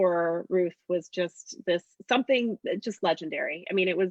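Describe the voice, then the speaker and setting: A woman uses a normal speaking voice at medium pitch and a moderate pace, with ordinary pitch variation. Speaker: political candidate, teacher. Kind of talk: casual chat. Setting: video call.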